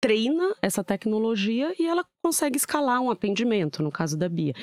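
This woman's fairly high voice swings very widely in pitch at a moderate pace, in a very clean, dry, close recording with no echo and a silent background. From São Paulo, Brazil (born in southern Minas Gerais). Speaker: tech company business professional. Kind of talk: casual interview chat.

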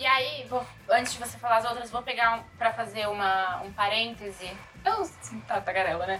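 A woman's fairly high voice is heard against noticeable background noise. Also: ordinary pitch variation, moderate pace. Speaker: podcast co-host. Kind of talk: casual chat.

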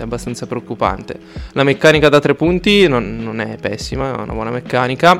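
A man is speaking. Noticeable background noise runs through the clip. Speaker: basketball analyst. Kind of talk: casual chat.

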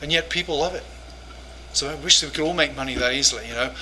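The voice shows ordinary pitch variation. There is noticeable background noise. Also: man. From England. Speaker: professor and pastor. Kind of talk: lecture. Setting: church conference with audience.

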